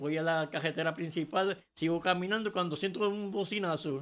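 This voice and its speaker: On a very clean recording with a silent background, a man speaks in a high pitch. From Puerto Rico, Orocovi. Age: 70s. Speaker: churchgoer giving testimony. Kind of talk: testimony.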